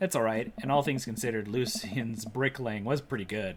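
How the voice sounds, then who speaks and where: A man puts on a raspy character voice at medium pitch and a fairly quick pace. Background noise is clearly heard. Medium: game stream. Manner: formal, flowery, gallant.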